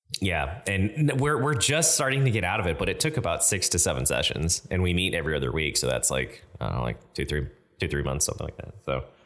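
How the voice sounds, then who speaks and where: A man talks very fast with hardly any pauses, in a very deep, low pitch. His voice has vocal fry and very wide pitch swings. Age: 30s. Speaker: tabletop game writer and podcast co-host. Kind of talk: casual chat.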